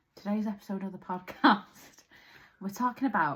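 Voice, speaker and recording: A somewhat breathy woman's voice at medium pitch. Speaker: podcast co-host. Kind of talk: casual chat.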